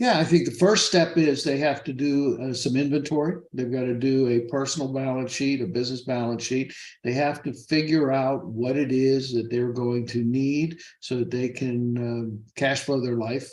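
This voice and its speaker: With a plain, everyday voice, a man talks at a moderate pace with hardly any pauses, medium pitch and fairly even intonation. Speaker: financial advisor. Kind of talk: interview.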